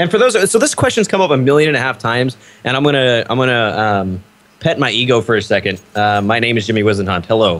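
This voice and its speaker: Delivered in an American accent, the speech moves at a very fast pace with lively intonation. Loudness stays very even throughout. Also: man, medium pitch for a man. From United States. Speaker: esports caster. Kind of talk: live commentary.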